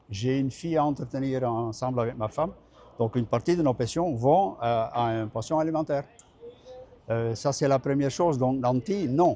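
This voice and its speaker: At a moderate pace, a man with a slight Belgian accent speaks at a medium pitch with ordinary pitch variation, leaving long, frequent pauses. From Belgium. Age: 70s. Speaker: retired trade unionist. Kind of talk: interview. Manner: halting.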